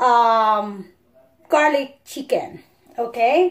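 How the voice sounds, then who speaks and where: Speaking in a non-native accent, this woman shows typical rise and fall in her pitch. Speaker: home cook vlogger. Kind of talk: cooking tutorial. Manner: casual, conversational.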